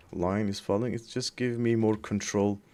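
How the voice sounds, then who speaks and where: A man with a non-native accent speaks at a fairly low pitch. His tone is dark and mellow, and his intonation stays fairly even. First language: not English. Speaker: 3D artist. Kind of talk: tutorial. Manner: halting; casual.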